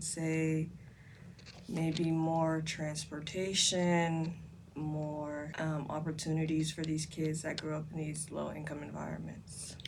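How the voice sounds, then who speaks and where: With audible room echo, a woman speaks very slowly in a very deep, low pitch. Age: young. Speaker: university student. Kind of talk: interview.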